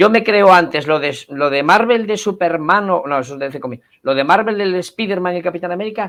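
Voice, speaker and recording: With a quiet background, a man speaks very fast in an animated tone, using a high pitch and lively intonation. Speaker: cultural association representative. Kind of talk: interview.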